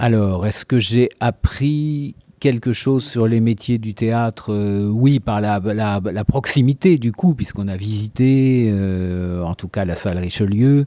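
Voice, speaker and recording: With a dry, close sound and no echo, a man speaks at a very slow pace with hardly any pauses, using a medium pitch, ordinary pitch variation and a dark, mellow tone. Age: 60s. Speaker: amateur actor and musician. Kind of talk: interview testimony. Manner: halting, many hesitations and repetitions.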